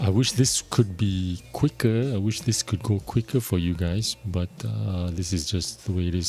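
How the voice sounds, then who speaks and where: Over music in the background, a man with a fairly low pitch and a relaxed tone talks at a fairly slow pace with hardly any pauses and ordinary pitch variation. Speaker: gaming YouTuber. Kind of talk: casual gameplay commentary. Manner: relaxed, hesitant with fillers.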